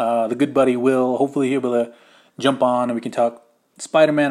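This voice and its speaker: The pace is very fast, with fairly even intonation. It is a very clean recording with a silent background. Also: man. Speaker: podcast host. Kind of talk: solo casual podcast monologue. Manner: casual, filler-heavy.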